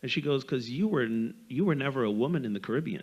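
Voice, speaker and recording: At a fairly quick pace, a man with a slight Barbadian accent talks in a fairly high pitch. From Barbados. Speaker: panelist, community activist. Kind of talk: panel discussion.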